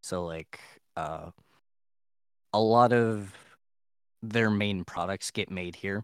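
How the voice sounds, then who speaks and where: On a very clean recording with a silent background and a dry, close sound with no echo, a man speaks very slowly in a fairly low pitch, his intonation fairly even and his pauses long and frequent. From Ohio. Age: 20s. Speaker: college student, gamer. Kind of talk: casual chat.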